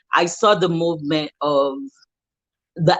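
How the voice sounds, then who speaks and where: With music in the background, a woman talks very slowly. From Nigeria. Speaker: fashion business owner. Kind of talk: interview storytelling.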